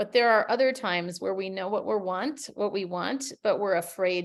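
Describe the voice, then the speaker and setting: At a moderate pace, a woman with an American accent talks in a normal speaking voice with a fairly low pitch. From US Midwest, Minnesota. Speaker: communication coach. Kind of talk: webinar presentation.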